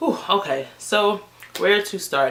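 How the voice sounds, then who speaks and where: A woman's fairly slow speech with ordinary pitch variation. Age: 20s. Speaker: beauty vlogger. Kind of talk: casual vlog talk to camera. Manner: animated.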